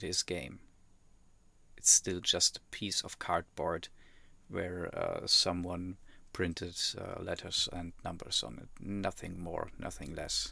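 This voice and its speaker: Speaking very slowly with long, frequent pauses, a man talks in a German accent. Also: big swings in loudness, very clean recording, silent background. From Germany. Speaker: YouTube reactor. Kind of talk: reaction commentary. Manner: hesitant, many fillers.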